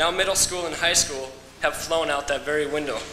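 A man's voice with fairly even intonation, audible room echo and light background noise. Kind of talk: ceremonial welcome speech. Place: hall. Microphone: podium.

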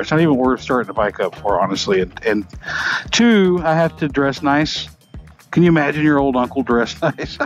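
The speaker talks at a fairly quick pace. Faint music plays in the background. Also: man, dry sound with no echo. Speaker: motorcycle vlogger. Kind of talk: casual vlog chat. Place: motorbike.

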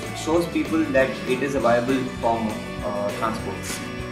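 Over music in the background, a man talks with ordinary pitch variation. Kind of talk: interview answer. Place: workshop.

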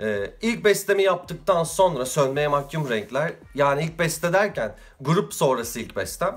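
A man talks fairly slowly in a fairly high pitch with lively intonation. Vocal fry runs through his voice. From Turkey, İzmir; Turkey. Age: 30s. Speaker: vlogger and musician; vlogger. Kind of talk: casual vlog monologue. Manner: hesitant with frequent fillers. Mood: relaxed, humorous self-introduction. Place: home room. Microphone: phone near.

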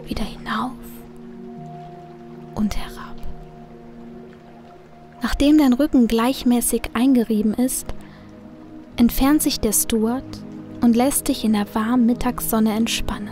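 Over background music, a woman talks very slowly in a calm, soothing tone, pausing often and at length. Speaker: audiobook narrator / hypnosis reader. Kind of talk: hypnotic guided relaxation, sleep dream journey. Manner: slow, calm, soothing.

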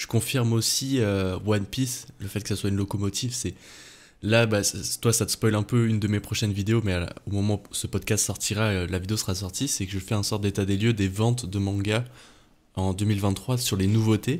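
A man with a fairly low voice talks at a moderate pace, his intonation fairly even. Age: 20s. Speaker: manga YouTuber. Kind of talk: casual chat; casual podcast conversation. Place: home room. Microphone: studio mic.

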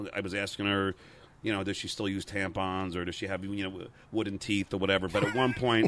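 A man with an American accent talks at a fairly quick pace in a fairly low pitch and a monotone, flat intonation, with a dry sound, no echo, and light background noise. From New York, Long Island. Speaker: radio and TV personality, comedian. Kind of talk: interview answer, telling stories. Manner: stuttering, hesitant, conversational. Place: garden. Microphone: handheld.

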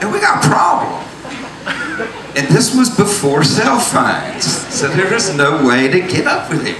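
A high-pitched man with a Southern US accent, long, frequent pauses and noticeable background noise. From US South. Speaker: storyteller. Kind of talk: stage storytelling. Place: stage. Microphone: handheld.

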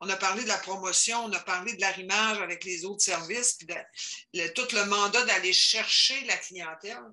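Moderate pace, with noticeable background noise. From Quebec. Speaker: adult education counselor. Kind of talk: work meeting discussion. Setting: video call.

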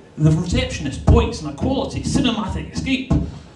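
A man talks at a moderate pace, with audible echo from the room. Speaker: stand-up comedian. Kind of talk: stand-up comedy routine. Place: stage.

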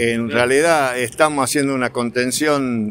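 A man's very slow speech, dry with no echo. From Argentina. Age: 70s. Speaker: pharmacist. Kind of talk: interview. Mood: concerned, frustrated. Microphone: phone near.

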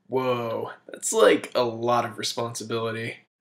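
Using a cartoonish character voice, a man speaks at a medium pitch and a moderate pace. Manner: casual, dopey bro slang.

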